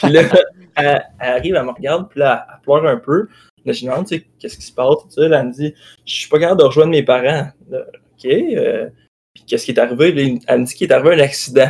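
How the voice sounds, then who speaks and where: A man with a fairly high pitch at a very fast pace. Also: ordinary pitch variation, big swings in loudness. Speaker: podcast host. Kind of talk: casual chat.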